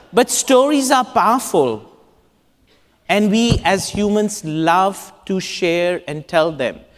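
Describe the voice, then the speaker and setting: The very slow speech comes in an Indian accent on a very clean recording with a silent background. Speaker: urban designer. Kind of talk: conference talk.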